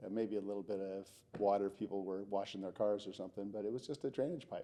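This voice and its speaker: A man with an American accent talks at a very fast pace. His voice is fairly low in pitch with a dark, mellow tone. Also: fairly even intonation. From Los Angeles, California (San Pedro). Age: 60s. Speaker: city council member. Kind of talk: podcast interview.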